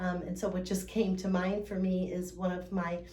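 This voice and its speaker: Audible room echo surrounds a woman speaking at a medium pitch and a fairly slow pace. Her intonation is monotone and flat. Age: 60s. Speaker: fitness coach for older adults. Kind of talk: instructional talk. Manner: casual, with many fillers.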